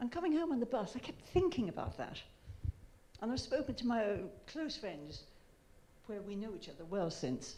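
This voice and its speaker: With vocal fry and a dark, mellow tone, a woman speaks at a fairly high pitch and a moderate pace. Her pitch swings very widely, broken by long, frequent pauses. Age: 70s. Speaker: audience member. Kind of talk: audience question.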